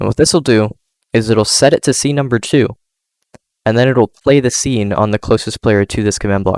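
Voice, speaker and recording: A man at medium pitch with ordinary pitch variation and a fairly quick pace, in dry, close sound with no echo. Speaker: Minecraft content creator. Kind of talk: tutorial. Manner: casual, hesitant.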